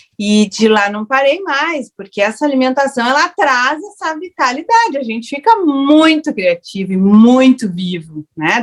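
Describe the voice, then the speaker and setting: Her pitch is high, and this woman's voice moves through very wide pitch swings. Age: 60s. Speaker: raw food educator, panel speaker. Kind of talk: online panel discussion. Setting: online festival panel.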